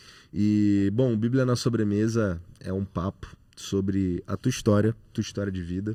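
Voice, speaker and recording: A man's dark, mellow voice, fairly low in pitch, with fairly even intonation against a quiet background. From Rio de Janeiro, Brazil. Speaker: podcast co-host. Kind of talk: podcast interview; introducing a guest.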